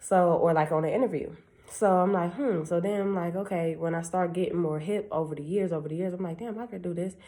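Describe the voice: Speaking at a fairly quick pace, a woman with a fairly low pitch and a dark, mellow tone keeps her intonation fairly even.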